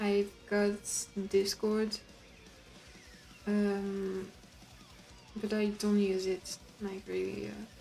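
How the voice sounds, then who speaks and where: Very slow, monotone, flat speech in a French accent, with long, frequent pauses and music in the background. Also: woman. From France. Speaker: artist streamer. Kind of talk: casual live stream chat while drawing. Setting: live stream. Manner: halting.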